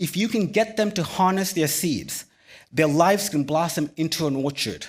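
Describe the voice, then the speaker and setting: On a very clean recording with a silent background, a man talks at a moderate pace. He has a plain, everyday voice, fairly high in pitch, with lively intonation. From Sri Lanka, then California from age 11. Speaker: physician and keynote speaker. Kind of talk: keynote speech. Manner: measured, rehearsed delivery.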